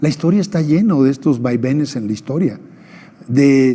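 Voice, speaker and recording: A man uses a normal speaking voice at a fairly slow pace, with ordinary pitch variation. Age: 60s. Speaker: former election official. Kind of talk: TV interview.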